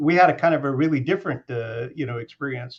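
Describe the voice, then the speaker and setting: In an American accent, a man speaks at medium pitch with ordinary pitch variation. His voice is somewhat breathy and moves at a moderate pace. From US mid-Atlantic (Washington DC area). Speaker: moderator. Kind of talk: interview. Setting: webinar video call. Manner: halting.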